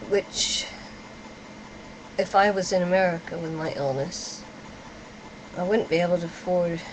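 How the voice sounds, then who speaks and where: A woman with a fairly low voice, moderate pace, long and frequent pauses, and noticeable background noise. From UK. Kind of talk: video reply monologue. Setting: webcam at home. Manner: halting.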